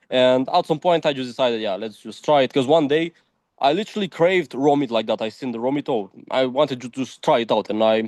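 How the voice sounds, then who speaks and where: Someone speaks at a very fast pace with a Romanian accent and ordinary pitch variation. The sound is dry and close with no echo, over a quiet background. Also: man, medium pitch for a man. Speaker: diet content creator. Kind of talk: interview. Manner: casual, filler-heavy.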